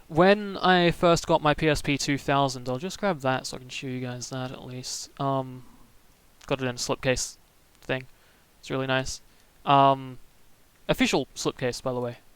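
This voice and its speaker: Soft-spoken and with a slight Australian accent, the speaker talks at a fairly slow pace with ordinary pitch variation on a very clean recording with a silent background. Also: man. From Australia, Melbourne. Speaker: streamer. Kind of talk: casual live stream chat. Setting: live stream. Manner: hesitant, many fillers.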